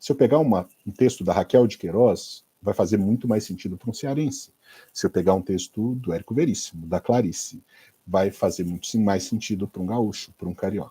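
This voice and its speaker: Dry and close with no echo, the recording captures a man. His fairly low voice is somewhat breathy, with a dark, mellow tone. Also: ordinary pitch variation, moderate pace. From Brazil, Minas Gerais. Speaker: Spanish teacher for exam prep. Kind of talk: online class / live lecture. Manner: casual, conversational.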